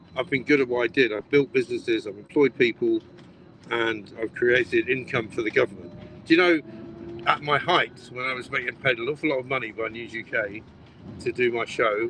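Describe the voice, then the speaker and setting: Speaking with an English accent, a man talks at a fairly quick pace. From Britain. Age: 60s. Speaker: broadcaster. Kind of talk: casual chat.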